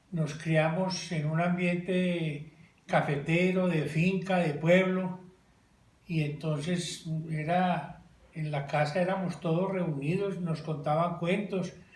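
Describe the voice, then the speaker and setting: At a very slow pace, a man speaks at a high pitch in a flat monotone, with audible room echo and noticeable background noise. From Colombia, coffee region (Belalcázar, Caldas). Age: 70s. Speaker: interviewee recalling childhood. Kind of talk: casual family interview.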